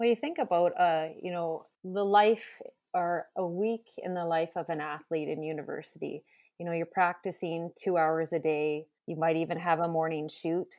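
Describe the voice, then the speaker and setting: A woman with a Canadian accent talks at a moderate pace in a fairly low pitch. She has a plain, everyday voice. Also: fairly even intonation. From western Canada. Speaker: teacher and basketball coach. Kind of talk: casual chat.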